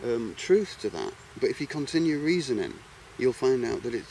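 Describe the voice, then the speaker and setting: With an English accent, a man is talking. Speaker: video blogger. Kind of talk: monologue vlog. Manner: halting, repetitive.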